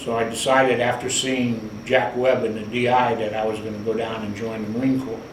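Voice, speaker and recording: A man talks at a moderate pace with monotone, flat intonation. Audible room echo and noticeable background noise are present. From US Midwest, Cleveland, Ohio. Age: 70s. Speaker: navy veteran. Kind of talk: oral history interview.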